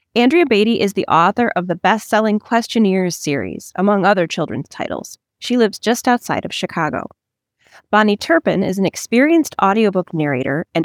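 This woman talks at a fairly quick pace with lively intonation, in a normal speaking voice at medium pitch. The recording is very clean with a silent background, and the sound is dry and close with no echo. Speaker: interviewer. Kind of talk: interview.

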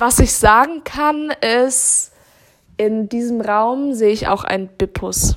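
Very slowly, a woman talks, her pitch varying in an ordinary way. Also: fairly high pitch for a woman. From Baden-Württemberg, Germany. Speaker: podcast co-host. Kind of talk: casual chat.

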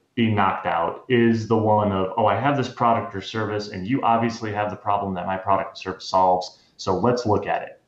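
A man with a normal speaking voice talks at a moderate pace, fairly low in pitch and with fairly even intonation. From US, moved around. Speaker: cybersecurity executive. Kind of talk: interview.

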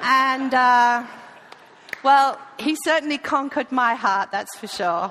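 Her raised, projected voice sits at a high pitch with ordinary pitch variation. The woman speaks at a very slow pace, leaving long, frequent pauses. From Lincolnshire, England. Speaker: missionary church leader. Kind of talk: sermon. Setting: church.

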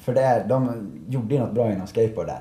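A man's fairly even intonation in a room with audible echo. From Sweden, Malung (Dalarna). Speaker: professional snowboarder and event organizer. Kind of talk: casual interview. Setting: café at a ski resort.

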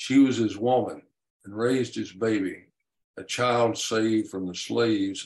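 Over a quiet background, the speaker does plain reading aloud.

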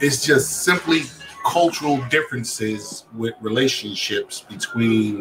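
With music in the background, a man of medium pitch speaks at a moderate pace with lively intonation. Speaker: guest panelist. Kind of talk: heated debate. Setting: video call. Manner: animated.

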